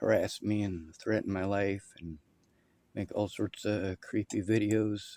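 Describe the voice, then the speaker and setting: Flat and monotone, the voice moves at a fairly slow pace with a dark, mellow tone. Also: man, fairly low pitch for a man. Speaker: video commentator. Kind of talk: commentary over clips. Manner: loud.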